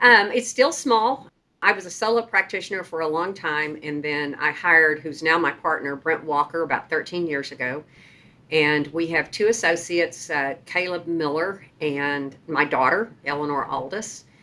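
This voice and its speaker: A woman's bright, sharp voice in a Texas accent, at a moderate pace with ordinary pitch variation. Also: fairly low pitch for a woman. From Texas, Sherman. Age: 60s. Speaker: trial lawyer. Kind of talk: interview storytelling.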